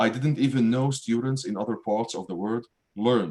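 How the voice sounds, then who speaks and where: A man speaks with an Arabic accent at a moderate pace. His pitch sits in the medium range. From Syria, Damascus. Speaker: writer and math professor. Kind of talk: reading aloud.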